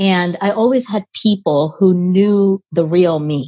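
A woman speaks with a dark, mellow tone. Her pitch sits fairly low. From India, moved to US at 10. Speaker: immigration lawyer. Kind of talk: interview conversation.

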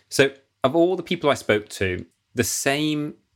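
Heard in a very clean recording with a silent background, a man speaks with a northern English accent. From northern England. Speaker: podcast host. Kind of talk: interview.

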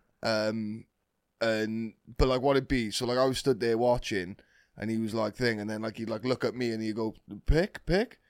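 Recorded very cleanly with a silent background, a man with a British accent talks at a moderate pace and medium pitch with fairly even intonation. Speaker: podcast co-host. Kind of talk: casual chat.

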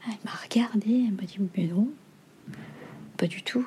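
Her voice is somewhat breathy, a woman's in a fairly high pitch with ordinary pitch variation. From Mauritius. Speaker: novelist. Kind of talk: interview. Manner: hesitant.

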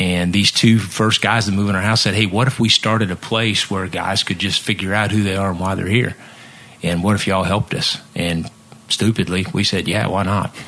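A man with an American accent talks in an ordinary speaking voice at a fairly quick pace, with a fairly low pitch and fairly even intonation. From Missouri. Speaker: nonprofit founder, former musician. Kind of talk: casual chat.

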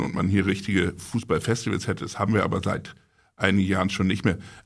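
A man's ordinary speaking voice at a fairly low pitch, in a very clean recording with a silent background. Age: 40s. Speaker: magazine publisher. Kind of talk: casual chat.

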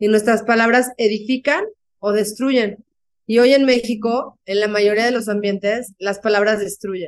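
A woman with an unremarkable speaking voice, fairly high-pitched and fairly slow, with fairly even intonation. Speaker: author and speaker. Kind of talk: interview.

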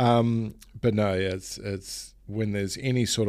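A monotone, flat delivery in a New Zealand accent on a very clean recording with a silent background. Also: man. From New Zealand, Auckland. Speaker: pro wakeboarder and keynote speaker. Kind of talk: casual interview. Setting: face to face.

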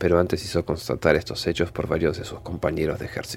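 A man with a very deep, low voice speaks with vocal fry. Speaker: horror story narrator. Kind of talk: scripted ghost story narration, read aloud in hushed, suspenseful tone. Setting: studio.

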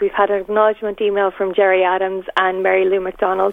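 A woman talks at a very fast pace with an Irish accent. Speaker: parent. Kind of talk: interview.

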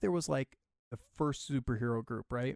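A man's normal speaking voice, medium in pitch with ordinary pitch variation and an American accent, at a fairly quick pace, in a very clean recording with a silent background and a dry, close sound with no echo. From Michigan, US Midwest. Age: 30s. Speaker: comic book creator. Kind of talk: casual chat.

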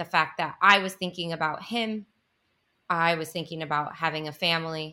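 In a very clean recording with a silent background, a woman with a very deep, low pitch speaks at a moderate pace in a bright, sharp tone with fairly even intonation. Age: 30s. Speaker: tech worker. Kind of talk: interview.

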